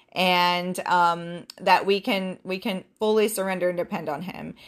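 A woman's monotone, flat delivery in a very clean recording with a silent background. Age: 40s. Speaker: podcast host and business owner. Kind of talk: solo podcast talk. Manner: casual, with fillers.

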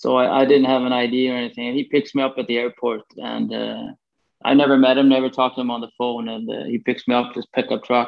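A man with a Swedish accent at medium pitch, talking very fast in a flat, monotone way. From Sweden, Gothenburg. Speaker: former pro hockey player and agent. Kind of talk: interview.

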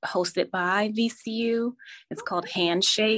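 In an American accent, a woman speaks at a very slow pace with fairly even intonation. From New Jersey. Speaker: fashion designer and clothing business owner. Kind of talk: interview.

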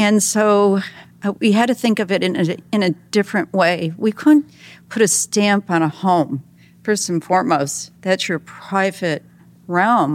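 Her intonation is lively and her pitch medium. The woman, with an American accent, speaks at a fairly slow pace. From New York State. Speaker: sustainability and interior design advocate. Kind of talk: interview conversation.

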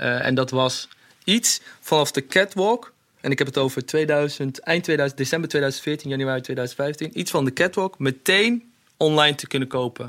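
At a moderate pace, a man speaks in an ordinary speaking voice, fairly high in pitch, with ordinary pitch variation. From Netherlands, Hasselt near Zwolle. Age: 30s. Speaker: fashion designer. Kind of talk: interview.

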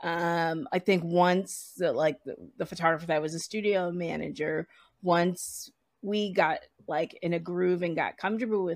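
A woman's normal speaking voice with an American accent, fairly low in pitch, at a moderate pace with ordinary pitch variation over a quiet background. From US Northeast, Providence, Rhode Island. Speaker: photo editor and producer. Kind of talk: interview conversation.

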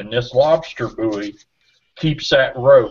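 The speaker is a man with a somewhat breathy voice. He talks at a moderate pace. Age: 60s. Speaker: boating safety co-host. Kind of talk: casual chat.

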